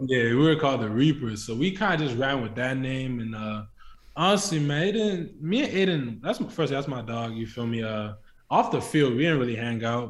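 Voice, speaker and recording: A man speaks at a medium pitch and a moderate pace. His pitch varies in an ordinary way, and the room echo is audible. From Nigeria, then Scotland. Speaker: college football player, draft prospect. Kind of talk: interview.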